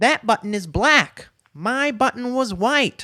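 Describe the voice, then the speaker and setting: Using a put-on character voice, a man speaks at a fairly slow pace with an extremely high pitch. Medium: read story. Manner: fussy, whiny.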